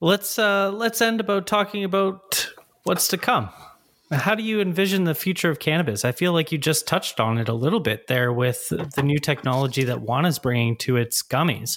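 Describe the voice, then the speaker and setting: A man with a Canadian accent speaks in a fairly high pitch. His pitch swings very widely, yet his loudness stays very even. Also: fairly quick pace. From Ontario, Canada. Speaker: podcast host. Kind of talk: interview; casual chat.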